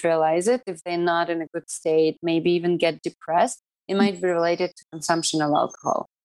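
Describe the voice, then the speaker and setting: In a dry, close sound with no echo, a woman with a Russian accent and a fairly low pitch speaks at a moderate pace. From Siberia, Russia (Irkutsk). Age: 30s. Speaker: yoga teacher. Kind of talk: casual interview.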